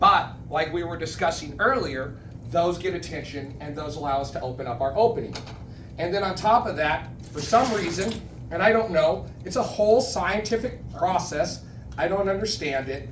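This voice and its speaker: Amid noticeable background noise and audible room echo, a man speaks at a high pitch and a moderate pace with lively intonation. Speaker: public speaking club member giving educational session. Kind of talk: educational talk to a club. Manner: casual, self-interrupting.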